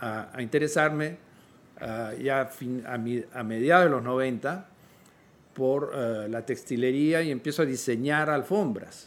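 A man's voice sits at a medium pitch, his pitch rising and falling in an ordinary way as he talks very slowly. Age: 60s. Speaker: visual artist and writer. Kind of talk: interview conversation. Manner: halting.

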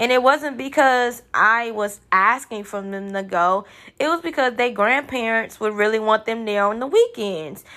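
On a very clean recording with a silent background, a woman speaks at a moderate pace in a bright, sharp tone, her pitch fairly high with ordinary variation. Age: 30s. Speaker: podcast host, nursing student. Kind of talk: casual monologue.

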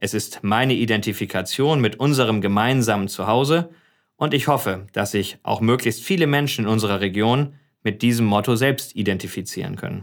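Heard on a very clean recording with total silence behind it, an ordinary speaking voice proceeds at a medium tempo, its pitch varying in a normal way. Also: man. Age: 40s. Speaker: politician and podcast host. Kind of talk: casual interview.

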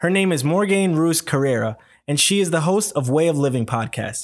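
A man with an unremarkable speaking voice talks fairly quickly, his intonation lively. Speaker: podcast host. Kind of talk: casual interview.

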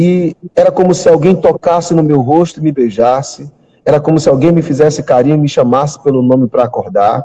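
A man's somewhat breathy, dark, mellow voice with a fairly high pitch, at a fairly quick pace, with very even loudness and ordinary pitch variation. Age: 40s. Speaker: pastor. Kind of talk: testimony; sermon.

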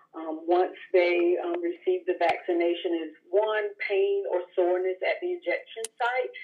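A woman talks at a very slow pace. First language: English (speaking Spanish). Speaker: clinical research staff. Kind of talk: expert explanation.

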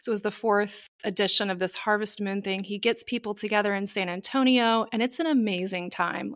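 In a normal speaking voice, a woman with a fairly high pitch and fairly even intonation talks at a fairly quick pace on a very clean recording with a silent background. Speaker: podcast host and tarot reader. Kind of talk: casual interview chat.

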